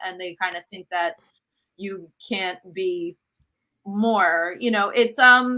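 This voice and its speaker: Speaking at a very slow pace, a woman with a non-native accent has a medium pitch and a bright, sharp tone. Her intonation is fairly even, though her loudness swings widely. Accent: has an accent in English. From US Northeast, Brooklyn New York. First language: Italian. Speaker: cookbook author and cooking show host. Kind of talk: interview conversation.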